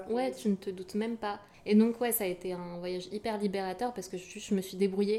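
A woman speaks at a medium pitch and a fairly quick pace, her loudness swinging widely. Noticeable background noise runs underneath. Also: fairly even intonation. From France, Yvelines. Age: 20s. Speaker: artist and recent graduate. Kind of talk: casual chat.

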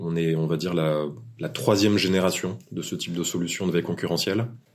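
Moderate pace and ordinary pitch variation in a man's very deep, low pitch. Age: 40s. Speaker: tech startup founder. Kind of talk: interview.

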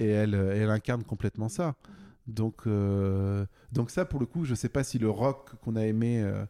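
This man's voice sits fairly low, with a dark, mellow tone and ordinary pitch variation at a moderate pace. The sound is dry and close without echo, on a very clean recording with a silent background. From central France (Bourges). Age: 40s. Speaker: author and music journalist. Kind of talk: interview. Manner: halting, many fillers.

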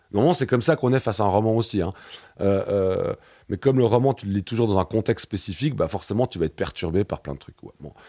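In a very clean recording with a silent background, a man with a medium pitch sounds dry and close, with no echo. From Switzerland. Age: 40s. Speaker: museum director and science fiction scholar. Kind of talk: interview. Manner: hesitant, many repetitions and fillers.

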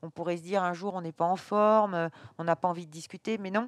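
The sound is dry and close, with no echo, on a very clean recording with a silent background. Intonation stays fairly even. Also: woman. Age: 50s. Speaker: baker and business owner. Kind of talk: interview. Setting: in her bakery at night. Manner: halting, many hesitations.

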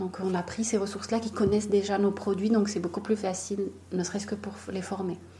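Against noticeable background noise, a woman at a medium pitch talks at a fairly quick pace in a monotone, flat intonation. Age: 30s. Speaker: chocolatier. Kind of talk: interview.

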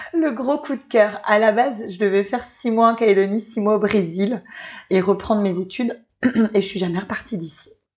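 A woman speaks in a normal speaking voice at a moderate pace, her pitch fairly high with ordinary variation, over a quiet background. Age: 30s. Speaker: entrepreneur. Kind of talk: interview.

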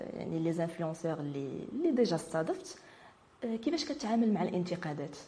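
A woman's fairly low voice at a fairly quick pace, lively intonation, audible room echo and noticeable background noise. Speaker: web TV host. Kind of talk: interview.

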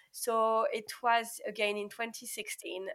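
A woman talks in a fairly high pitch with a French accent. The recording is very clean, with a silent background. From France. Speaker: pharmacist. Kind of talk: interview.

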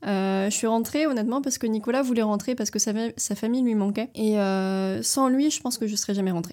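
A woman speaks in a fairly high pitch with a dark, mellow tone and ordinary pitch variation. Her loudness stays very even on a very clean recording with a silent background. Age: 20s. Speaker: traveler and entrepreneur. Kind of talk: casual interview. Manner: fluid.

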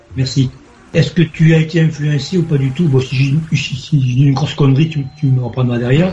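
A man's fairly high voice holds a very even loudness over noticeable background noise. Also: moderate pace. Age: 50s. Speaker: caller. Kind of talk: storytelling. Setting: video call. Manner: animated.

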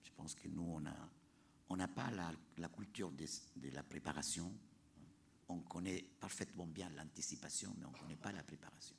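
Vocal fry at a moderate pace, with long, frequent pauses and ordinary pitch variation. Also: man, very deep, low pitch for a man. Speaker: leader of an international youth climate education project. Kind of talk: panel talk. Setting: planetarium with audience.

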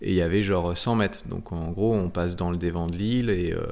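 A man's voice sits at a very deep, low pitch. Its pitch variation is ordinary. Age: 40s. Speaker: offshore sailor. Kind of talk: interview.

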